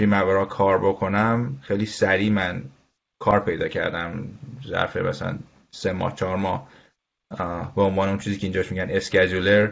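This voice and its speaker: Fairly low in pitch, a man speaks at a fairly quick pace with fairly even intonation and long, frequent pauses. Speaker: construction management firm executive. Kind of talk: interview.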